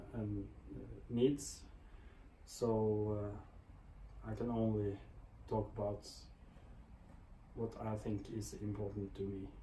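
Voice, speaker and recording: Very slowly and with long, frequent pauses, a man with a non-native accent speaks in a fairly low, dark, mellow, somewhat breathy voice with fairly even intonation, and audible room echo. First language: not English. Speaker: motorcycle vlogger. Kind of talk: product review vlog. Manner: hesitant, many fillers.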